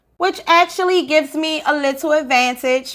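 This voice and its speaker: A woman with a Baltimore accent speaks at a fairly slow pace. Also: very clean recording, silent background. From Baltimore, Maryland. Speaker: Spanish teacher / language content creator. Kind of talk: casual talk to camera. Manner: playful, upbeat.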